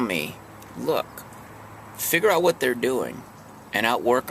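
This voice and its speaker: A man keeps a moderate pace as noticeable background noise runs underneath. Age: 50s. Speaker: house painter and singer-songwriter vlogger. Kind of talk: casual vlog monologue. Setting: parked in his truck. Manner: halting, many fillers.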